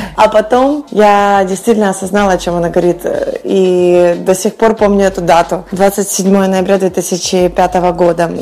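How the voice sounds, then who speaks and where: Speaking fairly slowly at medium pitch, a woman keeps her intonation fairly even over noticeable background noise. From western Ukraine, village. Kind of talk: radio interview.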